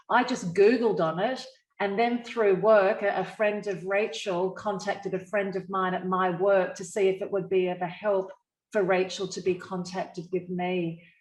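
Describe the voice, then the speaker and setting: A woman with an Australian accent speaks at a moderate pace and a medium pitch. Her intonation is monotone and flat. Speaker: encephalitis survivor, media professional. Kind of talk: online panel discussion.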